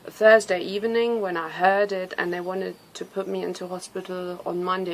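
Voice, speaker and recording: A woman with a German accent speaks in a medium pitch with monotone, flat intonation over noticeable background noise. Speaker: nutrition coach, cancer survivor. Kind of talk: personal testimony. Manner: halting, with fillers.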